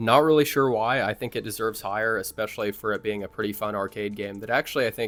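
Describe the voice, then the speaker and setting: In an American accent, a man speaks with an enthusiastic tone at a fairly low pitch. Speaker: gaming YouTuber. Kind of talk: video review commentary. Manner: casual, enthusiastic.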